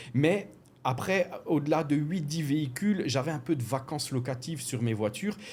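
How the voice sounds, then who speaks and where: A man with an Alsatian accent talks at a fairly high pitch, somewhat breathy. His intonation is lively. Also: moderate pace. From France, Alsace. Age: 40s. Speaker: car rental business owner. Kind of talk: podcast interview. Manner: hesitant, many fillers.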